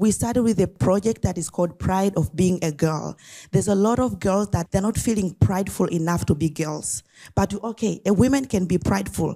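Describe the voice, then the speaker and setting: A woman speaks at a fairly quick pace with a medium pitch, ordinary pitch variation and vocal fry. Her tone is dark and mellow, and the recording is very clean with a silent background. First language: not English. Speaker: nonprofit founder. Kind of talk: talk at an event. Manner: some hesitation and repetition.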